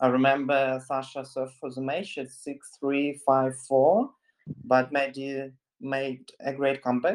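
A man speaks at a fairly slow pace with a Russian accent. His pitch sits in the medium range. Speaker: sports journalist, podcast co-host. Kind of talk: podcast chat.

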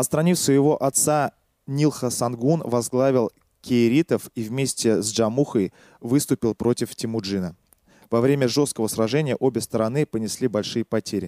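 With a dark, mellow tone and medium pitch, a man speaks at a moderate pace with ordinary pitch variation, the sound dry and close with no echo in a very clean recording with a silent background. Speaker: podcast host presenting a history topic. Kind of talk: storytelling history narration, partly read from notes. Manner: fluent, flowing speech.

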